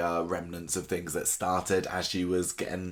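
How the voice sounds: A low-pitched male voice at a fairly slow pace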